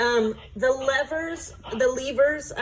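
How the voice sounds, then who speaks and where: The voice belongs to a woman. Noticeable background noise can be heard throughout. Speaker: clinical nurse educator. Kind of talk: feedback on student presentation. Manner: casual, hesitant with many fillers.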